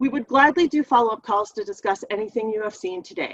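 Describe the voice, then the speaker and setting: A woman with a fairly high pitch talks at a very fast pace with lively intonation, in a dry, close sound with no echo. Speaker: software technical specialist presenting a webinar. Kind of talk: webinar tutorial.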